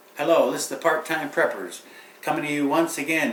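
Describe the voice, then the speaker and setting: The man's voice sits at a fairly high pitch. Audible room echo surrounds it. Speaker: prepping channel host. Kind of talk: tutorial. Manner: casual, hesitant with fillers.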